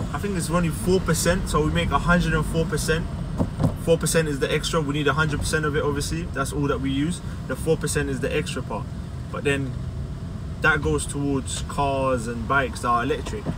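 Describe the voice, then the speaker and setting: A man speaks at a fairly quick pace, his voice dry with no echo against noticeable background noise. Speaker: car detailer vlogger. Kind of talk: vlog rant while driving, complaining about London traffic. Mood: frustrated, opinionated. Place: car. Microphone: phone near.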